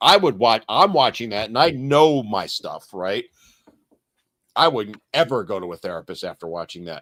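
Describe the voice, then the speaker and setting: An animated voice at a moderate pace, with very wide pitch swings and big swings in loudness, recorded dry and close with no echo. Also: man, medium pitch for a man. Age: 60s. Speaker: podcast host discussing men's issues. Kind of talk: casual discussion. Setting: live stream.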